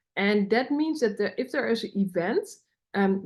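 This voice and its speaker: A woman's fairly high-pitched voice with a Dutch accent. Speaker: podcaster. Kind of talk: personal development podcast monologue.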